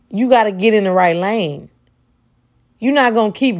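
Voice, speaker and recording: Animated in tone, a woman speaks at a medium pitch with ordinary pitch variation. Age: 20s. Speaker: podcast host and preacher. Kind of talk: sermon-style podcast monologue.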